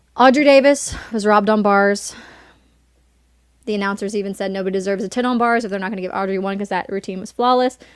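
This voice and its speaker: A woman speaks at a very fast pace with a slight Southern US accent. Her intonation stays fairly even, and the recording is very clean with a silent background. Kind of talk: casual chat.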